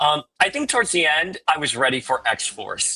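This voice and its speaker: Over music in the background, a man speaks in a fairly high pitch with very wide pitch swings. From Miami, Cuban-American. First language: Spanish. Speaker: X-Men podcaster. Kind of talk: casual chat.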